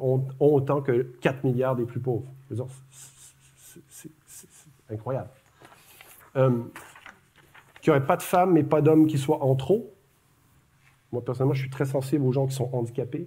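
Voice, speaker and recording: Spoken at a moderate pace with fairly even intonation, the voice swings widely in loudness, stops often for long pauses, and carries audible room echo. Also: man, medium pitch for a man. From Quebec, Montreal. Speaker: academic speaker. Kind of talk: public lecture. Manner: conversational, with many hesitations.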